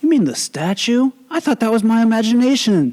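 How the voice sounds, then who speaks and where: Someone does a put-on character voice with lively intonation at a fairly quick pace. The loudness stays very even, and the sound is dry and close with no echo. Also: man, extremely high pitch for a man. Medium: actual play.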